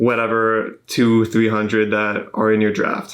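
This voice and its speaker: Medium in pitch, a man's voice comes through. The background is quiet. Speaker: podcast host. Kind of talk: podcast talk. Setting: studio. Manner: monotone.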